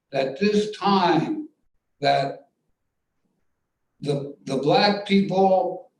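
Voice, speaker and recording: Speaking very slowly, a man with a high voice uses lively intonation amid audible room echo. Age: 80s+. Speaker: playwright. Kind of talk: post-show Q&A.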